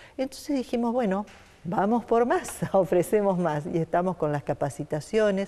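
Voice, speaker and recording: A woman's lively intonation comes through at a moderate pace. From Santa Fe, Argentina. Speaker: nonprofit foundation director; interview guest. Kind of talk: interview. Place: studio. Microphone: lapel.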